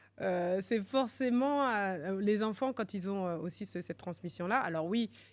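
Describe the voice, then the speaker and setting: Medium pitch from a woman, fairly slow, with ordinary variation in pitch. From France, Paris region. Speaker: finance executive and entrepreneur. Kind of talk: podcast interview. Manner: hesitant, many fillers.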